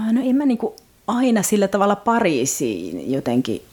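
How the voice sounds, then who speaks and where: A woman speaks with very wide pitch swings. Noticeable background noise can be heard. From Finland. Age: 40s. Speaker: novelist and translator. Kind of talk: casual interview.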